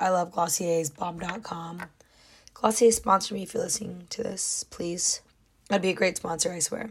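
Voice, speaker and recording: The somewhat breathy voice moves at a moderate pace with ordinary pitch variation. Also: woman, medium pitch for a woman. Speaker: solo podcaster. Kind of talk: casual monologue. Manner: animated.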